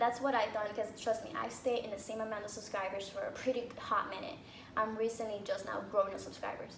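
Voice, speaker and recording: Fairly quick, fairly even-toned speech with audible room echo and noticeable background noise. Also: woman, fairly high pitch for a woman. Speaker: YouTuber, military member. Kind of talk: casual vlog advice. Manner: halting.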